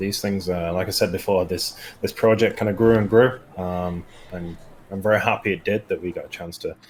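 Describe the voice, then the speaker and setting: A man speaks with a northern English accent. His pace is fairly quick. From northern England. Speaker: game designer. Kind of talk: casual gameplay stream chat. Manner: hesitant, many fillers.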